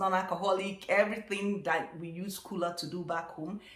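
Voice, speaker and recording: A woman talks at a moderate pace in a medium pitch. There is noticeable background noise behind her. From Nigeria. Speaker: vlogger. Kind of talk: casual talk to camera.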